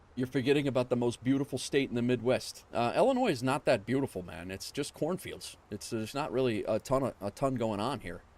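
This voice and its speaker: Fairly quick, hardly pausing speech with a New York accent and ordinary pitch variation, on a very clean recording with a silent background. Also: man, medium pitch for a man. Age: 40s. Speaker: flight sim streamer. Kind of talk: casual livestream chat. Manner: casual, chatty.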